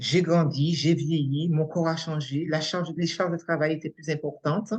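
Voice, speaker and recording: Her pitch is very deep and low for a woman. She talks at a fairly slow pace with fairly even intonation. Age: 60s. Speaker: coaching trainee, unemployed after burnout. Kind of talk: testimony interview. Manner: halting.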